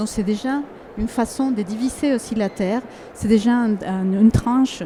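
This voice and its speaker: Noticeable background noise sits behind a woman who speaks fairly slowly at a fairly high pitch with fairly even intonation. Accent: Spanish. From Ecuador. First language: Spanish (speaking French). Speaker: artist. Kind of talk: panel discussion. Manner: halting, many fillers and repetitions.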